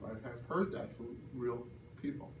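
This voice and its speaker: A man's somewhat breathy, animated voice carries ordinary pitch variation, and audible room echo surrounds it. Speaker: career workshop presenter. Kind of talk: workshop presentation. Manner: fast.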